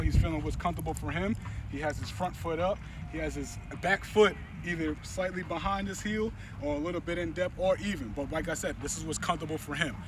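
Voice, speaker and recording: A man's fairly quick speech, dry with no echo, over noticeable background noise. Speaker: football coach. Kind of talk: tutorial. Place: stadium.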